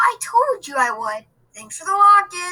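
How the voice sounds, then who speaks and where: A woman puts on a character voice at an extremely high pitch. Her pitch swings very widely at a moderate pace. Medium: read story. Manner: cheerful, playful.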